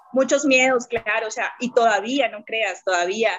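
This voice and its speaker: At a moderate pace, the speaker talks with a Bogotá accent and ordinary pitch variation. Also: woman. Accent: Bogotá Colombian Spanish. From Colombia, Bogotá. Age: 30s. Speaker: entrepreneur, network marketer. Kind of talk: casual interview.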